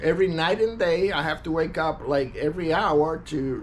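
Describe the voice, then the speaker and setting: The speaker goes at a fairly slow pace with ordinary pitch variation. There is audible room echo. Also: man. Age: 60s. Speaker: war veteran. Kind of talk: personal testimony monologue. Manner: halting, many fillers and repetitions.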